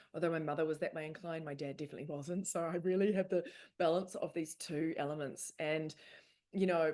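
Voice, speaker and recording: A woman speaks in a normal speaking voice, pitched fairly low with ordinary pitch variation. The background is quiet. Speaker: spiritual speaker and author. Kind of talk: presentation. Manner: casual, filler-heavy.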